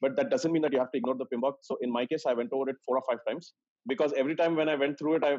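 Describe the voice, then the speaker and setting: A man's fairly high voice with an Indian accent, very fast in pace and fairly even in intonation. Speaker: senior project manager. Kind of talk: casual chat.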